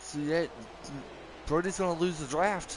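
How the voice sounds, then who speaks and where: A man with a strong West Virginia accent, fairly even intonation and noticeable background noise. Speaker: sim racing commentator. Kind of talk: live commentary.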